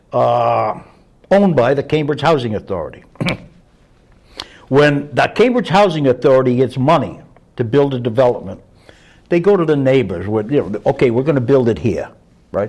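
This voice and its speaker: Over noticeable background noise, a man at medium pitch speaks at a moderate pace with lively intonation and long, frequent pauses. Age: 70s. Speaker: prison reform activist. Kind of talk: casual discussion.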